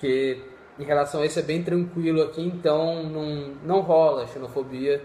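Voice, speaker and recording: Over noticeable background noise, a man talks at a fairly slow pace with a fairly high pitch and fairly even intonation. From Brazil. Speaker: medical student. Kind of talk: casual chat. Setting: live video call.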